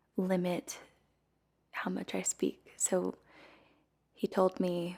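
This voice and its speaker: A soft-spoken woman talks at a very slow pace. The recording is very clean and the background silent. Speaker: singer. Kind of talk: casual talk to camera. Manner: soft-spoken, quiet.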